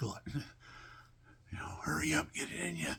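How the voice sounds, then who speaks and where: Someone is whispering at a moderate pace. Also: man. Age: 70s. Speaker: elderly vlogger with chronic pain. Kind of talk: rambling personal monologue.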